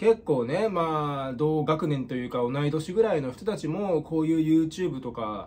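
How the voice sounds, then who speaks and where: A man's lively intonation comes through at a moderate pace, with light background noise underneath. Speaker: comedian youtuber. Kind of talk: casual vlog chat. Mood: reflective, slightly gloomy. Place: home room. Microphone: phone near.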